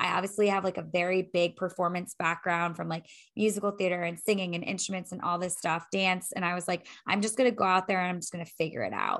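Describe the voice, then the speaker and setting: Against a quiet background, a woman talks at a very fast pace in an animated tone. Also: medium pitch for a woman. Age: 30s. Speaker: fitness instructor and life coach. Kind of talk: casual chat.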